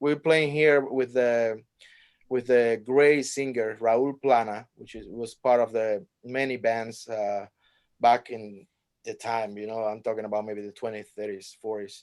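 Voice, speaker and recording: With a Cuban accent, a man speaks at a medium pitch using fairly even intonation. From Cuba, Havana. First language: Spanish. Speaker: jazz trumpet player. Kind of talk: interview. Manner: halting, many fillers and restarts.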